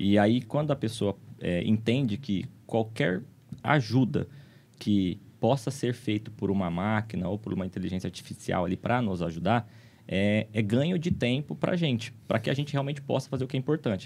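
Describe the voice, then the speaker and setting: Lively intonation carries this moderately paced speech. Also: man. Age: 30s. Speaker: legal tech entrepreneur; guest. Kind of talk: podcast conversation. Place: studio. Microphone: studio mic.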